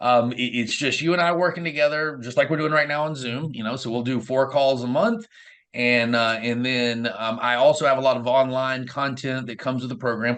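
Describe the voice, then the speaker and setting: In a Southern US accent, a man speaks at a medium pitch with fairly even intonation. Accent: southern US drawl. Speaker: real estate investor and coach. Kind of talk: interview. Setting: video call.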